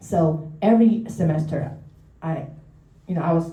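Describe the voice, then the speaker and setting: Her fairly low-pitched voice comes through noticeable background noise and audible room echo. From Taiwan. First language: Mandarin or Taiwanese. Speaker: therapist. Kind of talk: public talk. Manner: halting.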